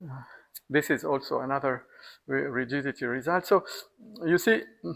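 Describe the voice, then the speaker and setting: A man's fairly high voice with vocal fry, lively intonation and big swings in loudness. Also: moderate pace. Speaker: mathematician. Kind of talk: lecture. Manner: halting.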